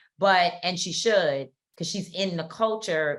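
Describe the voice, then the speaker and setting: Loud and bright with a sharp tone, a woman's fairly low voice moves at a fairly slow pace with ordinary pitch variation. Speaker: podcast co-host and activist. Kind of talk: casual chat. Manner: loud, talkative.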